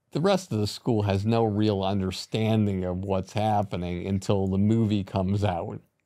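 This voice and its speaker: A man's dark, mellow tone at a moderate pace, monotone, flat intonation, hardly any pauses, and a quiet background. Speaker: podcast host, producer; podcast host. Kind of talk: interview questions. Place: studio. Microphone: studio mic.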